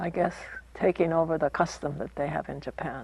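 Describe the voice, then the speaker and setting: Vocal fry runs through this woman's very deep, low voice. She speaks in an American accent at a moderate pace. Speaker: former internment camp prisoner. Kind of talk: interview answer.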